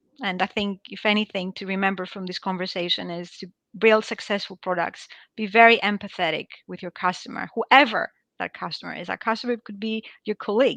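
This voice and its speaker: Over a quiet background, a woman speaks at a fairly quick pace in a bright, sharp tone, her intonation fairly even but her loudness swinging widely, the sound dry and close with no echo. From Greece. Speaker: product management executive. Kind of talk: webinar interview.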